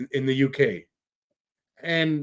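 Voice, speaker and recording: This is a man speaking with a fairly high pitch. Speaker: podcast host. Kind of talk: casual podcast conversation.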